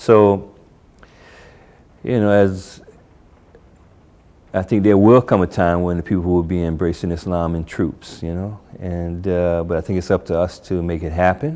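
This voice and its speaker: A man with an American accent and a very deep, low voice, dark and mellow in tone, at a moderate pace with long, frequent pauses. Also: fairly even intonation. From US Northeast, Newark, New Jersey. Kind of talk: interview testimony. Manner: casual, many filler words.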